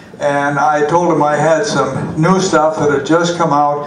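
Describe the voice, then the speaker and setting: A man talks at a fairly slow pace with a fairly high pitch. Noticeable background noise sits behind him. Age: 80s+. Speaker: retired surgeon, amateur comedian. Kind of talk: stand-up comedy set. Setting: live stage with audience. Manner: hesitant, halting.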